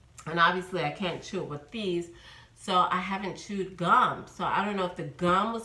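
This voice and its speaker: With an American accent, a woman speaks at a moderate pace and medium pitch. Audible room echo and noticeable background noise surround her. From New York. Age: 50s. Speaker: vlogger. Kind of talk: casual vlog monologue.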